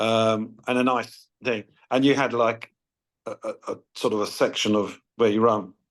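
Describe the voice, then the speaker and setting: Speaking fairly slowly, a man keeps a monotone, flat intonation. He has a Home Counties accent. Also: medium pitch for a man. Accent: southern English, Home Counties. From southern England (Watford, Hertfordshire). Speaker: basketball charity founder. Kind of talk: interview. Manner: halting.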